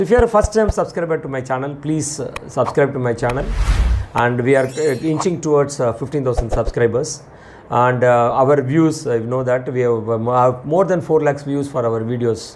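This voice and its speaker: With noticeable background noise behind him, a man with a Tamil Indian accent speaks at a moderate pace and a medium pitch with ordinary pitch variation. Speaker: financial planner, channel host. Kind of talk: explainer talk to camera. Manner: halting, with restarts.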